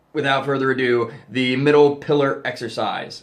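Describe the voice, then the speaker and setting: A man talks fairly slowly, and audible room echo follows his voice. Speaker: occult youtuber teaching ritual magick. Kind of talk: tutorial. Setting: home temple room. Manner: casual with many fillers.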